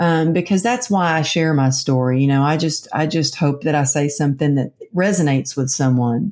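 A woman with a Texan accent talks at a fairly quick pace in a very deep, low voice, with hardly any pauses, ordinary pitch variation and very even loudness, on a very clean recording with a silent background. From Texas. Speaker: author and motivational speaker. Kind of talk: interview.

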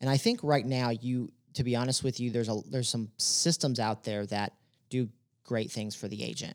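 A man with an ordinary speaking voice, medium pitch, fairly quick pace and an American accent, very clean recording and silent background. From Texas, Dallas. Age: 20s. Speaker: real estate regional director. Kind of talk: interview. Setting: office studio.

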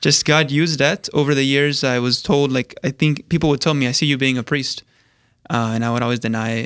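A man talks in an ordinary speaking voice, fairly high in pitch, at a fairly quick pace with fairly even intonation. The sound is dry and close with no echo, on a very clean recording with a silent background. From California, born in Mexico (Jalisco). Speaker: religious brother. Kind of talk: interview. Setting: studio.

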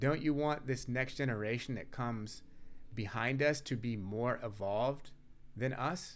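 There is audible echo in the room. A man talks at a moderate pace and medium pitch with ordinary pitch variation. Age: 30s. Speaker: podcast host. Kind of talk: casual monologue. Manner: animated.

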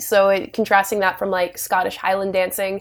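A woman's medium-pitched voice with a Virginia accent, on a very clean recording with a silent background. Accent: American, Virginia. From US, Richmond, Virginia. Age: 20s. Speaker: step dancer. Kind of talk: casual interview.

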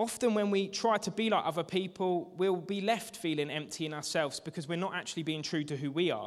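A man with a high pitch speaks at a very fast pace with ordinary pitch variation. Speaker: church speaker sharing testimony. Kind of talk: Easter sermon with personal testimony. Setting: church with congregation. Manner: casual, humorous, conversational.

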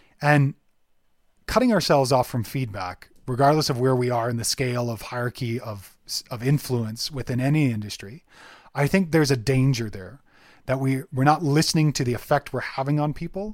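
An unremarkable speaking voice: a man at a medium pitch with ordinary pitch variation, at a fairly quick pace. The recording is very clean, with a silent background. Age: 30s. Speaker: farmer and permaculture consultant. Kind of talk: interview.

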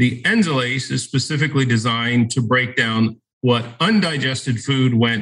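A man's plain, everyday voice, a plain, everyday voice at medium pitch, with ordinary pitch variation and a moderate pace. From US, Baltimore. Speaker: enzyme company sales educator. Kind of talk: casual chat.

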